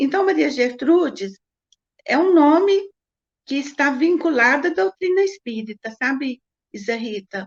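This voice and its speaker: A woman speaks at a high pitch with very wide pitch swings. Her pace is fairly slow, broken by long, frequent pauses. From Brazil, Minas Gerais (Triângulo Mineiro). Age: 70s. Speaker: spiritist writer and painter. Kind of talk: interview.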